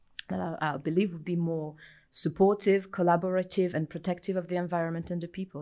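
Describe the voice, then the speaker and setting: A woman with a French accent speaks very fast in a fairly low, dark and mellow voice, her intonation flat and monotone, on a very clean recording with a silent background. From France. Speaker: materials science researcher. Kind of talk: interview.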